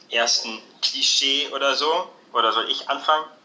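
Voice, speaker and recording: A man at a very slow pace with ordinary pitch variation, audible room echo and noticeable background noise. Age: 20s. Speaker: social work student. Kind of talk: casual chat. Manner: hesitant, many fillers.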